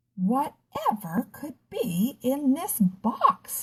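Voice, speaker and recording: A woman speaks in a put-on character voice, pitched high, very slow in pace and swinging very widely in pitch. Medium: read story. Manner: warm, tender.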